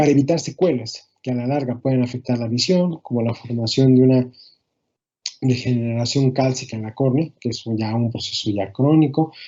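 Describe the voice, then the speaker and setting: A man speaks at a medium pitch. His intonation is fairly even. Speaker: ophthalmology lecturer. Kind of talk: lecture. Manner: fast.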